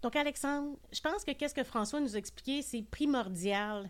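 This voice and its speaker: Her intonation is lively as this woman speaks. The recording is very clean, with a silent background. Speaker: podcast host. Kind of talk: show outro; casual chat.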